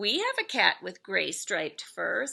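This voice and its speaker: A woman's put-on character voice at a moderate pace. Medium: read story.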